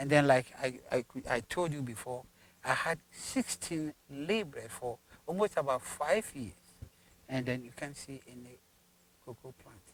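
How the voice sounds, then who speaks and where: A man with a Ghanaian accent and a fairly high pitch, talking at a fairly slow pace with long, frequent pauses, ordinary pitch variation, and a dry, close sound with no echo. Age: 70s. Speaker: farmer. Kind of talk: interview answer.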